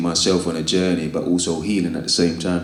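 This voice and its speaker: With a London accent, a man speaks in a very deep, low voice using monotone, flat intonation. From East London. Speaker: spoken word poet and author. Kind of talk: interview answer. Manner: casual, reflective.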